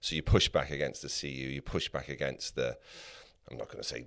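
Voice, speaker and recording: A man talks at a fairly quick pace. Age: 60s. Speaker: podcast co-host. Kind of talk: interview.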